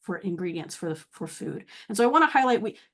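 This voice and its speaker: Lively intonation runs through this voice with an American accent. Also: woman. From US South, Atlanta. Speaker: university researcher. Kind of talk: webinar presentation. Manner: fast.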